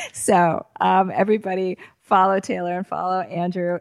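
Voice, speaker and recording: The sound is dry and close, with no echo. The speech moves at a moderate pace. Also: woman. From Boston area. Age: 40s. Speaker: podcast host and screenwriting instructor. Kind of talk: interview.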